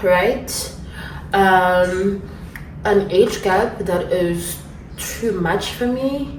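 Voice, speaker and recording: A woman speaks at a medium pitch in a South African accent. Room echo is audible, along with noticeable background noise. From South Africa, Durban, KwaZulu-Natal. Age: 20s. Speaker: YouTuber. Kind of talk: casual Q&A vlog. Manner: casual, chatty.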